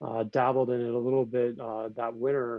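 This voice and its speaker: This man has an American accent and a medium pitch. He speaks at a moderate pace in a monotone, flat delivery. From US Midwest, Northeast Ohio near Cleveland. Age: 40s. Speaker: high school English teacher and lacrosse coach. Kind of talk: podcast interview. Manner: conversational, many fillers.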